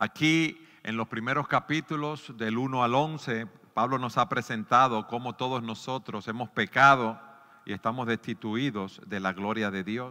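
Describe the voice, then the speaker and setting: Fairly slow speech comes in a bright, sharp tone. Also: man, medium pitch for a man, ordinary pitch variation. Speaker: pastor. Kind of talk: sermon.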